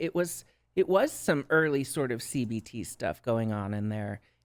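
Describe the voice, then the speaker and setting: Someone with a Minnesotan accent speaks at a fairly slow pace, the pitch swinging very widely. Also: woman. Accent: Minnesota. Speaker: drag performer and substance use counselor. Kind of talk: podcast interview.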